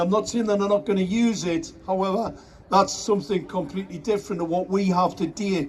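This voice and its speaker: Amid noticeable background noise, a man speaks loudly and fairly quickly in a high pitch with ordinary pitch variation. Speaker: activist. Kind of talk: speech to a crowd. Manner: animated.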